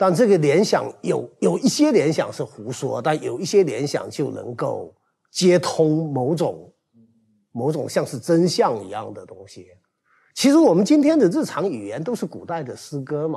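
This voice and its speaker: A quiet background and a man's moderately paced speech. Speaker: teacher. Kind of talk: casual chat. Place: studio. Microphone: lapel.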